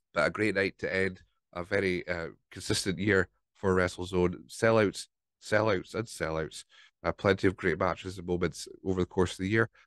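A man with a Scottish accent and a very deep, low pitch speaks at a moderate pace in a monotone, flat intonation, the sound dry and close with no echo against a quiet background. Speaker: podcast host. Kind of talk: casual solo podcast recap. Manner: rambling, hesitant.

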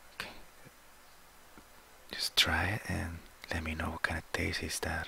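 Whispering, a man speaks at a fairly slow pace. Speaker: ASMR roleplay doctor. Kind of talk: ASMR medical roleplay. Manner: soft-spoken, relaxing. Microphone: headset.

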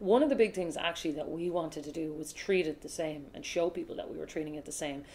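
A woman with a Cork accent speaks very fast in a very deep, low voice with a dark, mellow tone and fairly even intonation. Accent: Cork Irish. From Ireland, Cork (grew up partly in Australia); Ireland. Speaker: sports broadcaster; interviewee. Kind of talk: casual interview; interview answer. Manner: fast, lots of fillers. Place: home room.

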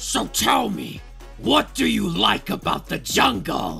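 Clear music runs in the background. Over it, a man does a put-on character voice, speaking fairly slowly. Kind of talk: video game character impression.

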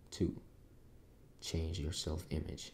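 A soft-spoken man with a very deep, low pitch talks at a fairly slow pace, his tone calm, dark and mellow. His voice is somewhat breathy, with light background noise. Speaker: ASMR creator. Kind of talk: book reading for sleep. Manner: soft-spoken, calm. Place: home room.

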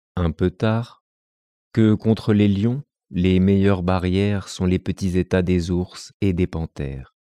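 Very deep and low in pitch, a man speaks at a very slow pace with a dark, mellow tone and ordinary pitch variation, recorded very cleanly against a silent background with a dry, close sound and no echo. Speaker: narrator reading fables. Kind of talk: scripted fable reading aloud to children. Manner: measured, storyteller-like, clear and expressive.

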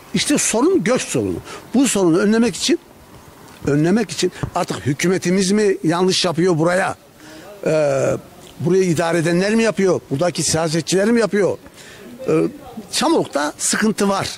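Long, frequent pauses break up a man's high voice at a moderate pace, with ordinary pitch variation and very even loudness. The sound is dry with no echo, over light background noise. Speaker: local resident; interviewee. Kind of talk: street interview. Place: street. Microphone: handheld.

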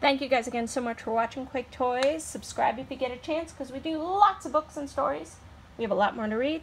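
A woman puts on a character voice, hoarse and raspy and high in pitch, with lively intonation. She speaks at a very fast pace over light background noise.

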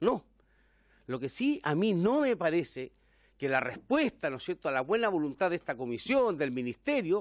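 A man speaks at a moderate pace in a fairly high voice. The sound is dry with no echo, over a quiet background. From Chile. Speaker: member of parliament. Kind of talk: parliamentary debate. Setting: parliamentary committee room. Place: meeting room. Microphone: podium.

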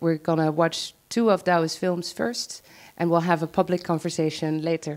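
A woman talks at a moderate pace, in a fairly low pitch with ordinary pitch variation, and has an unremarkable speaking voice. The background is quiet. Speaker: event host and moderator. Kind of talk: moderated public talk. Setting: live event with audience. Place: hall. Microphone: handheld.

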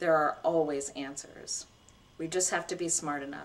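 This put-on character voice sits at a middle pitch and sounds shaky, moving at a moderate pace. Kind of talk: reading aloud from a novel. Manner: angry, quivering.

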